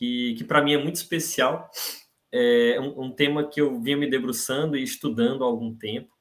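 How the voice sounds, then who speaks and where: A man with a strong northeastern Brazilian accent, moderate pace and very wide pitch swings. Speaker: university professor, invited speaker. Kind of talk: lecture. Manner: hesitant, repeats words.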